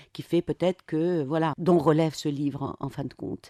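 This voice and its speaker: A woman speaks in a very deep, low pitch with a dark, mellow tone. Her intonation is fairly even, and the background is quiet. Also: dry, close sound with no echo. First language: Arabic (speaking French). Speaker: novelist. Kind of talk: radio interview.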